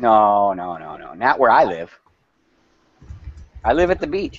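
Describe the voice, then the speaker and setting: A man's medium-pitched voice with a northern US accent, fairly slow, with very wide pitch swings and big swings in loudness. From Wisconsin / Minnesota. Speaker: company representative. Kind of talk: casual chat. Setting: video call.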